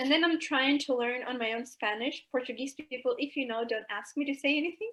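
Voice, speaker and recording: High in pitch, a woman talks with an American accent. She moves at a fairly quick pace. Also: ordinary pitch variation. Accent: American-sounding English. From Albania, raised in Greece. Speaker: goalball player. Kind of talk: talk show interview.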